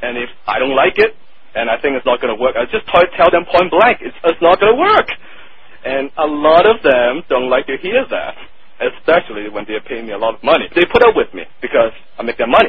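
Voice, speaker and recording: With a strong Hong Kong accent, a man talks at a fairly quick pace in a fairly high pitch, his pitch swinging very widely and his loudness rising and falling a lot over noticeable background noise. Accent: thick Hong Kong Chinese. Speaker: marketing copywriter. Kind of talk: interview. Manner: blunt, direct.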